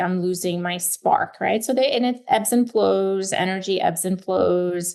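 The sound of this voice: A woman speaks at a moderate pace with a medium pitch. Her tone is slightly mellow.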